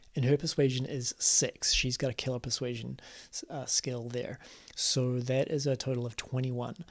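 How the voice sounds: Natural reading voice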